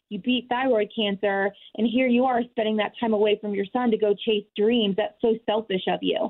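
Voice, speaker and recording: Speaking at a moderate pace with hardly any pauses, a woman with a fairly high pitch and fairly even intonation has an ordinary speaking voice. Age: 30s. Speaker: weight loss success story guest. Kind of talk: testimony.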